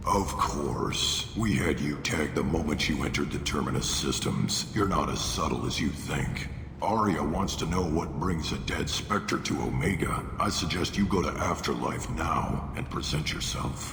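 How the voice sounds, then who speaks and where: A put-on character voice moves at a moderate pace. Loud background noise and a slight echo accompany it. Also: man. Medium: fan dub. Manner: curt, commanding.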